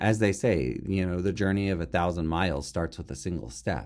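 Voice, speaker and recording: A man speaks with a Californian accent. His pitch is very deep and low. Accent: Californian American. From California, Tulare County. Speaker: podcast host, educator. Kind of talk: solo podcast monologue.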